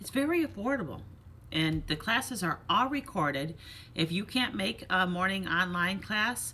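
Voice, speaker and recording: A woman of medium pitch with a bright, sharp tone and vocal fry, her pitch swinging very widely at a moderate pace. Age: 50s. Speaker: fitness instructor and vlogger. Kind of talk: casual motivational vlog talk. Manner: animated.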